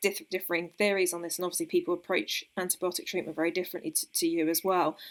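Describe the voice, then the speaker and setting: A woman with an English accent, on a very clean recording over a silent background. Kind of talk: polite, interviewing a guest.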